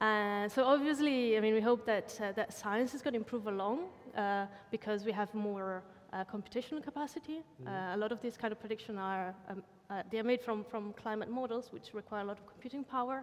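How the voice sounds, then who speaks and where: A woman at a fairly quick pace, with ordinary pitch variation and big swings in loudness. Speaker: panelist. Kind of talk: interview answer. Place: studio. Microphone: headset.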